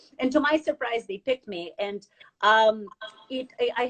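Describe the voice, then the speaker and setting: A woman talks at a fairly quick pace with a non-native accent. Her pitch is fairly high, with ordinary variation. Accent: noticeable foreign. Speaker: financial advisor. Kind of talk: interview. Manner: halting, many fillers.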